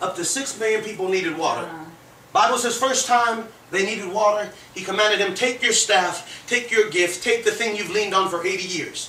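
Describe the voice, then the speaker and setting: Raising and projecting his high voice, a man speaks at a fairly quick pace. The room echo is audible, and there is light background noise. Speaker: preacher. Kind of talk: sermon. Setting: church. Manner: animated. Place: home room.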